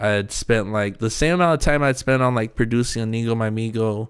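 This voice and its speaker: A man with an American accent, a fairly low pitch and a fairly quick pace, on a very clean recording with a silent background. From Sacramento, California. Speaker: graphic designer. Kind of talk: casual chat.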